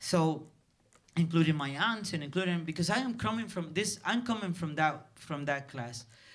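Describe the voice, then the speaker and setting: Lively intonation at a moderate pace, with a Spanish accent. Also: man, high pitch for a man. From Dominican Republic. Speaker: film director. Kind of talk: festival Q&A. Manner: halting, many repetitions.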